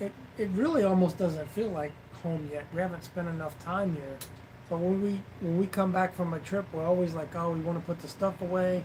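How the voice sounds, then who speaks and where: A man's high voice at a fairly quick pace, fairly even intonation, noticeable background noise. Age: 50s. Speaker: vlogger, live stream co-host. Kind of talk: casual live stream chat.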